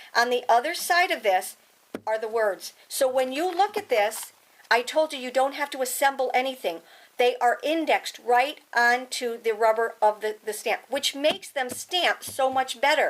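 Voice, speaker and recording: Lively intonation comes at a moderate pace. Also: woman, high pitch for a woman. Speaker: crafting product demonstrator; craft product demonstrator. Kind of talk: product demonstration tutorial; product demo tutorial. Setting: home studio. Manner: animated.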